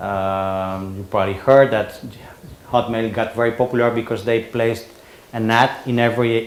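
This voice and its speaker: A man at a medium pitch with a Spanish accent. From Spain. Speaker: conference speaker. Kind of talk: presentation. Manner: halting.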